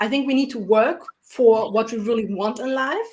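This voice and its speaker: This speaker has a non-native accent and ordinary pitch variation. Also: woman. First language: not English. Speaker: entrepreneur and coach on panel. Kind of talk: panel discussion.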